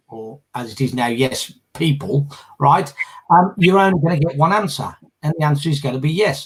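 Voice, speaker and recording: Lively intonation marks this somewhat breathy voice. Its pace is moderate. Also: man. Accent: British. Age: 60s. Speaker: former political candidate and leadership campaigner. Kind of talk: casual discussion on a live group video chat. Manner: hesitant, with frequent fillers and repetitions.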